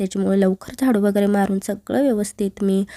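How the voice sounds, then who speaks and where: Her voice, fairly high in pitch with a dark, mellow tone, comes through a very clean recording with a silent background and a dry, close sound with no echo. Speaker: vlogger, homemaker. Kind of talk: vlog narration. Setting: at home, kitchen.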